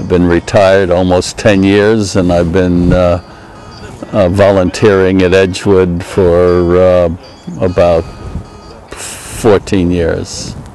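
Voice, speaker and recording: Over music in the background, a man with a very deep, low pitch talks very slowly in a monotone, flat intonation, leaving long, frequent pauses. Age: 70s. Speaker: retired engineer, park volunteer. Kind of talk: interview testimony. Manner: halting, many filler words.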